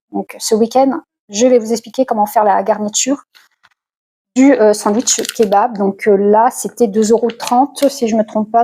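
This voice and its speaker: A woman speaks at a fairly slow pace with a fairly high pitch. Her intonation is fairly even, and the sound is dry and close with no echo. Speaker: lifestyle vlogger. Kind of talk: casual vlog haul talk. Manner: hesitant, many fillers.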